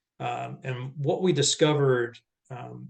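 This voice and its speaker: Somewhat breathy, a man talks with a medium pitch. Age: 60s. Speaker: former music industry executive, nonprofit mission worker. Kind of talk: casual chat. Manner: halting.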